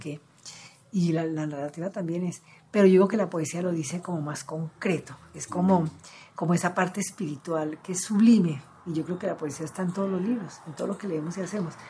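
The speaker uses a normal speaking voice at a fairly quick pace. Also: woman. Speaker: cultural manager and literary gathering founder. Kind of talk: interview.

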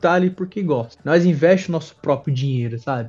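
A man speaks with a São Paulo accent. His tone is dark and mellow. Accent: São Paulo Brazilian Portuguese. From Brazil, São Paulo ABC region (Ribeirão Pires). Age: 20s. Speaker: professional wrestler. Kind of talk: interview. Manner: casual with filler words.

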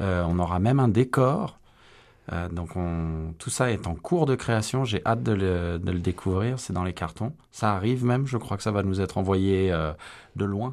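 On a very clean recording with a silent background, a man with an unremarkable speaking voice talks at a fairly slow pace and fairly low pitch. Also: ordinary pitch variation. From France. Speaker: amateur stage actor. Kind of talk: radio interview. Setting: studio.

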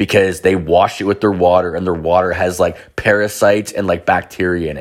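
A man at a very fast pace on a very clean recording with a silent background. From Canada. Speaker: podcaster. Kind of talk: casual storytelling monologue.

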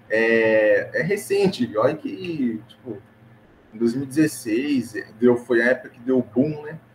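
Speaking very slowly in a medium-pitched voice, a man shows ordinary pitch variation and big swings in loudness. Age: 20s. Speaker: digital ads manager. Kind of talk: casual interview.

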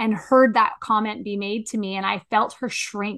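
A woman with an ordinary speaking voice talks at a moderate pace and a fairly high pitch. Her intonation is fairly even, and the background is quiet. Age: 40s. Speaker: podcast co-host and coach. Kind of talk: casual chat.

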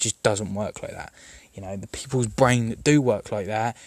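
A man with a southern English accent, fairly low in pitch, talking very fast with fairly even intonation. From southern England. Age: 20s. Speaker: gaming podcaster. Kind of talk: personal monologue. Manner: hesitant, many fillers.

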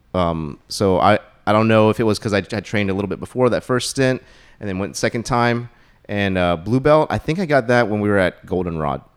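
An ordinary speaking voice from a man, fairly low in pitch, fairly quick, with lively intonation, in a very clean recording with a silent background. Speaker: martial arts practitioner. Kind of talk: casual chat interview.

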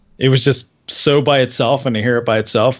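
A man with a normal speaking voice talks at a medium pitch and moderate pace with ordinary pitch variation. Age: 30s. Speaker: podcast co-host. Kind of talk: casual chat.

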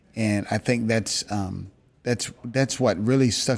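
This man has an unremarkable speaking voice with an American accent. His pitch sits fairly low and his intonation stays fairly even. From Maryland, near Washington D.C. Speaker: company team member. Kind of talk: casual chat.

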